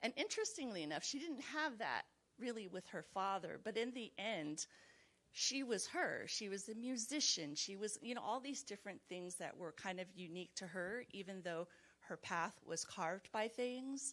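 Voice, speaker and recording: A woman talks in a Californian accent at a medium pitch. Her pace is moderate and her intonation lively. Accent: General American, Californian. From Los Angeles, US. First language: Chinese. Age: 40s. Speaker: mental health professional, book club participant. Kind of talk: book club discussion. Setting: video call.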